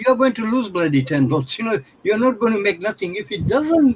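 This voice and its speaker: A man speaks loudly at a moderate pace. His pitch is high. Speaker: forex trading mentor. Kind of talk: live trading session commentary. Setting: live stream video call. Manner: animated.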